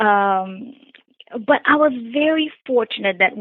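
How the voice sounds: A woman with a Brazilian accent and ordinary pitch variation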